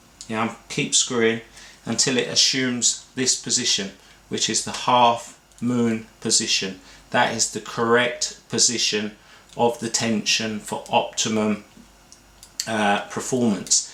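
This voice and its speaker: A man with an English accent, medium-pitched, monotone and flat, at a fairly slow pace amid noticeable background noise. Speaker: barber and clipper repair expert. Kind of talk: tutorial. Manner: casual, with fillers.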